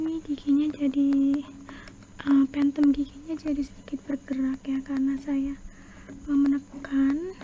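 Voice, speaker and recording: Soft-spoken and fairly slow, a woman talks in a flat monotone with long, frequent pauses. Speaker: ASMR creator doing dentist roleplay. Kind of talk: ASMR dentist roleplay, explaining a teeth cleaning. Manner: soft-spoken, slow.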